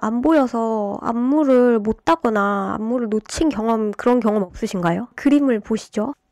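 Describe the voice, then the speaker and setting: A woman's dark, mellow tone carries lively intonation as she talks. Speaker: YouTuber, dance student. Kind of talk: monologue commentary. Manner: many filler hesitations.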